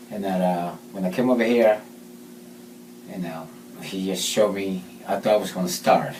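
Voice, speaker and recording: Through audible room echo and noticeable background noise, a man speaks in a very deep, low voice. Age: 50s. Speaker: patient testimonial. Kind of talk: testimony. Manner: halting.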